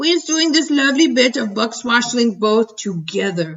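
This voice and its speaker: A woman uses a put-on character voice, high-pitched and playful in tone. She keeps a moderate pace. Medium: read story. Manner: ungrammatical, playful invented words.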